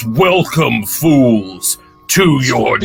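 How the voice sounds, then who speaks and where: Against faint music in the background, a man speaks at a medium pitch in a put-on character voice. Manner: menacing, theatrical.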